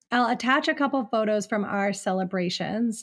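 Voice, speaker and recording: Over a very clean recording with a silent background, a woman with an American accent speaks in an ordinary speaking voice, fairly high in pitch, with lively intonation at a moderate pace. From Ohio, near Cleveland. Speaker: podcast host. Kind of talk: casual interview chat.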